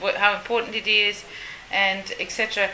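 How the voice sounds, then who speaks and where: A woman talks at a moderate pace. Her pitch is fairly high, with noticeable background noise behind her. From Uganda. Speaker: interviewer and marine biologist. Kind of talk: casual interview. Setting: on location at turtle rescue center, outdoors.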